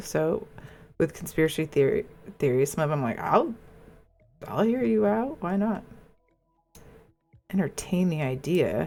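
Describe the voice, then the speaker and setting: A woman with a fairly low pitch speaks in an animated tone. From US Pacific Northwest, Seattle. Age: 40s. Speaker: live streamer. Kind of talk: casual chat. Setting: live gaming stream. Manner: casual, animated.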